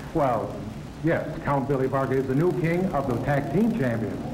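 Noticeable background noise sits under the recording. A man talks at a moderate pace. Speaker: professional wrestler. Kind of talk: wrestling promo, a boastful locker-room interview in character. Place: hall. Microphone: handheld.

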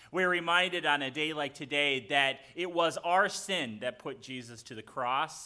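With ordinary pitch variation and a fairly slow pace, a man speaks against a quiet background. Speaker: pastor leading a service. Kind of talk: liturgy and sermon-style address. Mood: warm, solemn, celebratory. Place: church.

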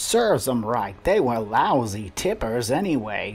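Faint music plays behind a man doing a put-on character voice at a medium pitch and moderate pace. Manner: sarcastic, callous.

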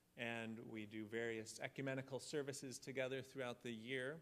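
Delivered at a moderate pace, the speech has fairly even intonation. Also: man. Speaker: pastor leading the service. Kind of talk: service announcements and liturgical reading. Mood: calm, solemn. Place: church.

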